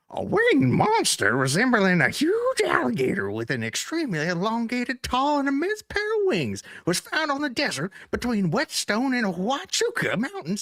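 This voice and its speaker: A put-on character voice with fairly high pitch goes at a moderate pace with hardly any pauses. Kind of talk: frontier-style.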